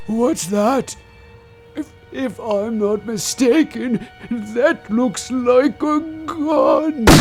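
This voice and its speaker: A put-on character voice from a man, extremely high-pitched and very slow, with clear music in the background. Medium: audio drama.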